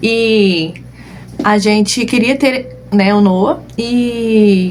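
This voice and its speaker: A woman speaks in a normal speaking voice at medium pitch with ordinary pitch variation. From southern Brazil (Rio Grande do Sul), moved to Cuiabá at 13. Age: 30s. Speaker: balloon decorator and online course teacher. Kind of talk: live online class, personal story. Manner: casual, frequent filler 'né'.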